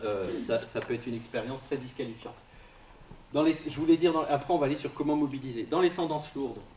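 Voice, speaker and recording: Noticeable background noise fills the recording. Over it, a man talks very fast. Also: fairly high pitch for a man, ordinary pitch variation. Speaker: psychosociologist giving a talk. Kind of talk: interactive lecture. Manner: casual, halting with fillers.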